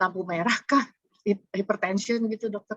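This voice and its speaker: A woman talks at a medium pitch. Her intonation varies an ordinary amount. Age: 60s. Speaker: webinar participant asking question. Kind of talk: audience question. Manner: halting, many fillers.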